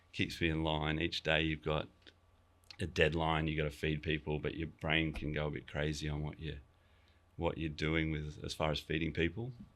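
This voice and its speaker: At a moderate pace, a man with an Australian accent speaks in a very deep, low pitch. His intonation stays monotone and flat. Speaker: chef and restaurant owner. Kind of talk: casual interview chat. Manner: casual, many fillers and restarts.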